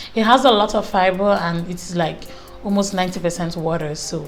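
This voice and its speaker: Over music in the background and audible room echo, a woman speaks at a moderate pace. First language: not English. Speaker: beauty vlogger. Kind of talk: casual chat. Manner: animated.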